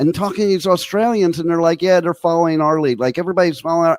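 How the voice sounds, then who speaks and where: Recorded very cleanly against a silent background, a man with a New Jersey accent talks at a high pitch, the sound dry and close with no echo. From New York and New Jersey. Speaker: internet radio host. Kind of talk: casual interview chat.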